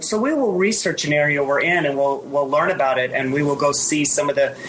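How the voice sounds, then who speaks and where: A woman's voice amid noticeable background noise. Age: 50s. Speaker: retired long-distance hiker. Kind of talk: casual interview chat.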